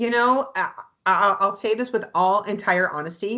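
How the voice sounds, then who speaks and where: Loud and animated, the voice carries a Canadian accent and lively intonation. Its tone is bright and sharp. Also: woman. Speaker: real estate agent and anthem singer. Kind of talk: interview chat.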